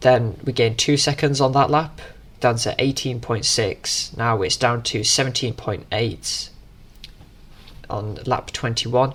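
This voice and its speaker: In a British accent, a man speaks fairly slowly with fairly even intonation. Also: medium pitch for a man. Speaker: sim racing gamer commentating own race. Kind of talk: race commentary voiceover. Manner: casual, hesitant with fillers.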